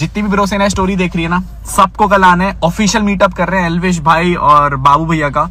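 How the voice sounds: A man's bright, sharp voice, high in pitch for a man, at a fairly quick pace with fairly even intonation over faint background noise.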